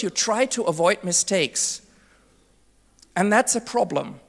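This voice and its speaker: In a very clean recording over a silent background, a woman with a German accent speaks at a medium pitch. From Germany. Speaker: conference speaker. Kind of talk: keynote talk.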